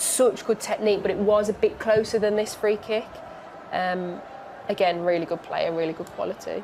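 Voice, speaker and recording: At a fairly quick pace, a woman with a strong Birmingham accent talks at a medium pitch with ordinary pitch variation and big swings in loudness, over noticeable background noise. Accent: strong Birmingham (Brummie). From Birmingham, English Midlands. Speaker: football pundit. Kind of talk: live match watchalong commentary. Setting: studio.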